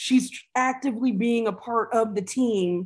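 Somewhat breathy, a woman speaks fairly slowly with an American accent and ordinary pitch variation. The background is quiet. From US Midwest, Dayton area, Ohio (early years in Richmond, Virginia). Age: 40s. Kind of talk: interview conversation.

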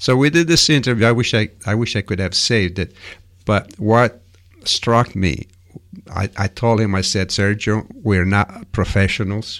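A man with an Italian accent speaks at a moderate pace with a fairly low pitch and ordinary pitch variation. The recording is very clean, with a silent background. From Sicily, Italy. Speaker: radio host. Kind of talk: casual radio chat. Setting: radio studio.

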